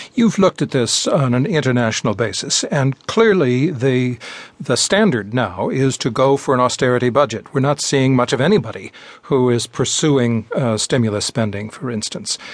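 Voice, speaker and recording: A man speaks in a normal speaking voice at medium pitch, with lively intonation and a moderate pace. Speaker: radio host. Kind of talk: interview.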